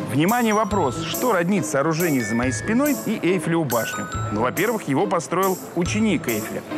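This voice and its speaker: A man speaks at a moderate pace. The sound is dry with no echo, and music plays clearly behind him. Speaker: travel show host. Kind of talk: presenter piece to camera. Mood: playful, ironic. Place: cafe. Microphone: lapel.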